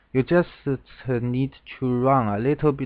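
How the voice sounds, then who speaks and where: A man is speaking. He has a Chinese accent. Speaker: Go game commentator. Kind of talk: lecture. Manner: halting.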